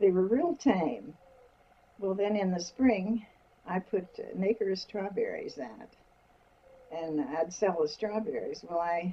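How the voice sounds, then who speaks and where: Amid noticeable background noise, a woman speaks very slowly with long, frequent pauses. Her medium pitch carries lively intonation. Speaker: interviewee recounting her life. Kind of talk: interview answer, recalling personal history.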